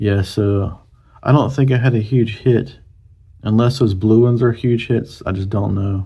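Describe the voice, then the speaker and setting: In a Southern US accent, a man speaks at a fairly slow pace with ordinary pitch variation. His tone is dark and mellow, and somewhat breathy. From US South. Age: 40s. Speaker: YouTuber, card collector. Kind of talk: casual commentary, card opening. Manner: hesitant, many fillers.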